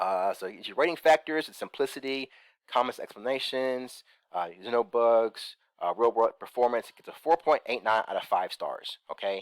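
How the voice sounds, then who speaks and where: A man with an ordinary speaking voice at a medium pitch talks at a moderate pace with lively intonation, recorded very cleanly against a silent background with a dry, close sound and no echo. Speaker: crypto investment YouTuber. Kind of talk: screen-share tutorial. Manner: casual, many fillers.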